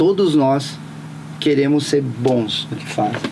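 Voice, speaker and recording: A man talks with a fairly high pitch and a moderate pace while noticeable noise sounds behind him. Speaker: voice actor and dubbing studio owner. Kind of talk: interview answer.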